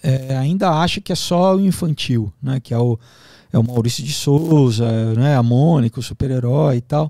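In a quiet background with a dry sound and no echo, a man with a dark, mellow tone talks at a moderate pace with ordinary pitch variation. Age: 40s. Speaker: actor and comics writer; actor, comics writer. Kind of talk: interview conversation. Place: studio. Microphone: studio mic.

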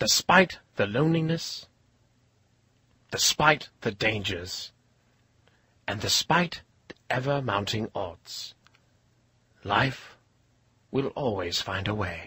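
In a raspy, put-on character voice at medium pitch, a man speaks at a fairly slow pace with very wide pitch swings and long, frequent pauses, and the sound is dry and close with no echo. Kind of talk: nature documentary narration. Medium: cartoon. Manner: hushed, admiring, dryly comic.

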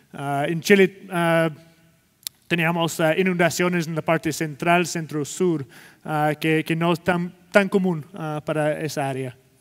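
A man with an English accent, fairly high in pitch, at a fairly slow pace against a quiet background. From Scotland. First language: English (speaking Spanish). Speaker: sustainability executive and keynote speaker; keynote speaker. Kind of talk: conference keynote presentation. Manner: halting, many fillers. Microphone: headset.

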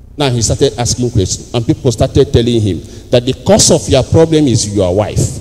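An animated tone comes from a man with a Nigerian accent. He talks at a fairly quick pace with ordinary pitch variation. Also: medium pitch for a man. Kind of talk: homily. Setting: church with congregation. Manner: animated, call-and-response preacher; formal, teaching tone. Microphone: handheld.

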